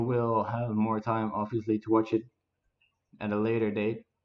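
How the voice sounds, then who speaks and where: A man speaks at a fairly slow pace with a Dutch accent, his pitch medium. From Netherlands. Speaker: gaming streamer. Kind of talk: casual gameplay commentary. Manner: halting, many fillers.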